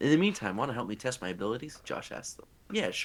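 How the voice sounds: Reading in a natural voice.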